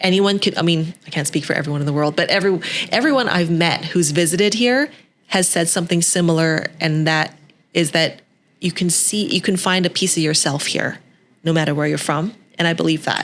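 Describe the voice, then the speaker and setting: A woman talks at a fairly quick clip with a fairly low pitch and ordinary pitch variation. Her loudness stays very even, and it is a normal speaking voice. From western Canada, Vancouver. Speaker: TV host and entrepreneur. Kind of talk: podcast interview.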